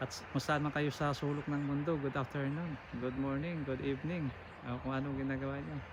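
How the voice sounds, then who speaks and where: A man with a fairly high pitch speaks at a fairly quick pace in a flat, monotone way, his voice somewhat breathy. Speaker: truck driver vlogger. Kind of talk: casual vlog tour narration. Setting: outdoors at a farm. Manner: halting.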